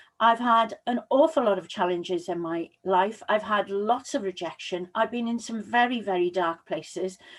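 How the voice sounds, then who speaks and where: A woman's fairly high voice with lively intonation, at a moderate pace and with hardly any pauses. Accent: Welsh. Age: 60s. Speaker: public speaking coach. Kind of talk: motivational talk. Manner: energetic.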